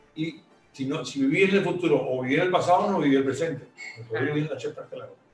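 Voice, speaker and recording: Amid noticeable background noise, a man with a fairly high pitch talks at a very fast pace with ordinary pitch variation. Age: 70s. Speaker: retired entrepreneur. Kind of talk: interview. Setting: at home.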